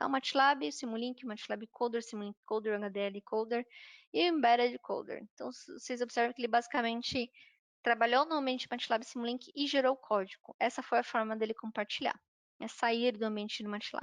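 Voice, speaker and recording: A woman speaks in an ordinary speaking voice at a fairly high pitch, with ordinary pitch variation and a moderate pace. The sound is dry and close, with no echo. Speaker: software trainer. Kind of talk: online workshop lecture.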